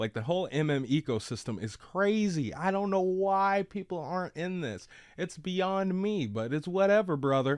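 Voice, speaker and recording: At a moderate pace with hardly any pauses, a man speaks in a high pitch and lively intonation against a quiet background. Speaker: crypto YouTuber. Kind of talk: casual screen-share tutorial. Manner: animated, slang-heavy; stumbling over words.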